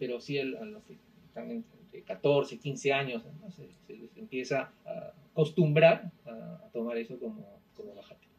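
A man talks at a fairly high pitch with very wide pitch swings and big swings in loudness. His pace is fairly slow. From Peru, Arequipa. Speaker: podcast guest, company employee. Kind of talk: casual chat.

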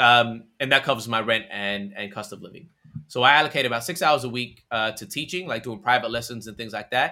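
Animated and bright, sharp in tone, a man talks at a fairly quick pace with an American accent. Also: medium pitch for a man, ordinary pitch variation. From Australia. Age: 20s. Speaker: content creator and influencer manager. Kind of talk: casual interview chat. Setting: video call.

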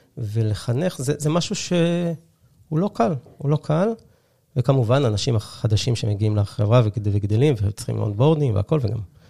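The somewhat breathy voice has a dark, mellow tone and ordinary pitch variation, recorded with a dry, close sound and no echo. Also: man. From Israel, Haifa. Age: 30s. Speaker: tech startup co-founder. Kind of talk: interview. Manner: halting, many fillers.

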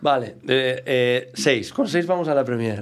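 A man with a strong Galician accent, medium pitch and ordinary pitch variation. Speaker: comedian. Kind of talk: casual interview chat.

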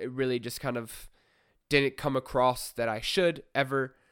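A man's medium-pitched voice, with ordinary pitch variation, is captured on a very clean recording with a silent background. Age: 20s. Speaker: podcast host, movie reviewer. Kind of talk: solo casual podcast review. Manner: hesitant, filler-heavy.

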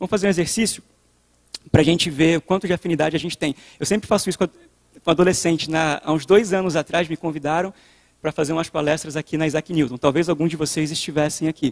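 Dry and close with no echo, a man speaks very fast in a Rio de Janeiro accent at a fairly high pitch with fairly even intonation. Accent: Rio de Janeiro chiado. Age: 30s. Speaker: youth preacher. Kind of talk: sermon.

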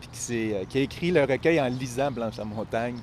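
Speaking in a Quebec accent, a man uses a medium pitch, ordinary pitch variation and a fairly slow pace. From Quebec, Eastern Townships (Appalachian backcountry). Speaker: writer and teacher. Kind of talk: interview conversation. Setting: outdoors in a city park. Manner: hesitant, many fillers and repetitions.

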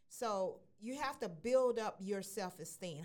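A woman has a plain, everyday voice. Her intonation is lively and her pace fairly slow. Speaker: radio host. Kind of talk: casual radio chat.

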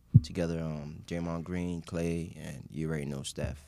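Speaking at a moderate pace with a New York accent, a man has a very deep, low voice, a dark, mellow tone, and fairly even intonation. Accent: New York English, Haitian family. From Queens, New York. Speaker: sports writer and filmmaker. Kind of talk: casual interview.

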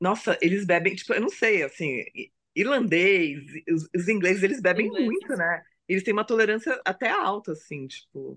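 Lively intonation marks a woman's an ordinary speaking voice, delivered at a moderate pace. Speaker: videographer. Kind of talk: casual chat.

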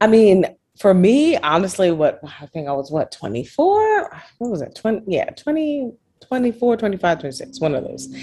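Her pace is very slow, with very wide pitch swings and big swings in loudness. The woman's fairly high voice sounds dark, mellow and somewhat breathy. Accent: American. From US, Brooklyn, New York. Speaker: tech entrepreneur. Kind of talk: interview conversation.

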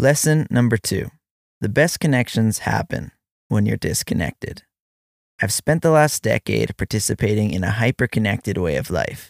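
A man with a fairly low voice and vocal fry speaks at a moderate pace, his pitch swinging very widely. The recording is very clean, with a silent background and a dry, close sound with no echo. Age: 30s. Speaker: father writing letters to his child. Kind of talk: reading aloud a personal letter.

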